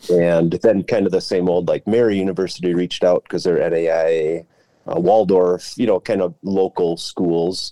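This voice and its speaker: The voice is dark and mellow, in an Upper Midwest accent, delivered in a flat monotone with a dry, close sound and no echo. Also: man, very deep, low pitch for a man, moderate pace. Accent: Upper Midwest American. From Central Minnesota. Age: 40s. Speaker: former college baseball player, teacher. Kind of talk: casual chat.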